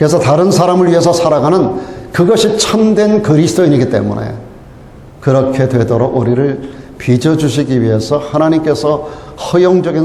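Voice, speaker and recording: The voice moves at a fairly quick pace with lively intonation and very even loudness. Audible room echo and noticeable background noise surround it. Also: man. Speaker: pastor. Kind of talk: sermon.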